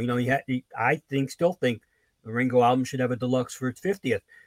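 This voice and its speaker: Talking at a very fast pace, a man with a medium pitch is heard in a dry, close recording with no echo. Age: 60s. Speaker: music fan commentator. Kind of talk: casual chat.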